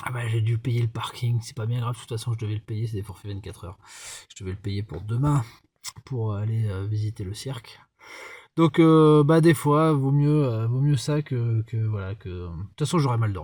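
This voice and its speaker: A somewhat breathy man speaks at a moderate pace in a dark, mellow tone of medium pitch. His pitch varies in an ordinary way, in a very clean recording with a silent background. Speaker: travel vlogger. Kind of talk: casual vlog narration. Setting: outdoors at night. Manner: soft-spoken.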